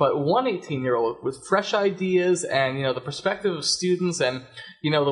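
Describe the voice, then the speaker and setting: A somewhat breathy man's voice in an American accent, fairly quick in pace, with ordinary pitch variation and a quiet background. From US Northeast. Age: young. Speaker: school board trustee; radio guest. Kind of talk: radio interview. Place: studio. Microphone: studio mic.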